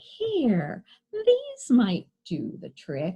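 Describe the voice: Putting on a character voice, a woman speaks at a medium pitch with a dark, mellow tone, a slightly husky edge, very wide pitch swings and a very slow pace.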